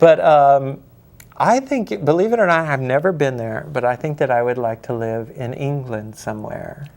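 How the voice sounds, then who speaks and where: A man with an American accent talks at a moderate pace in an unremarkable speaking voice. His pitch sits fairly high, with ordinary variation. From Wyoming, US. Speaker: horror novelist. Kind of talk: interview.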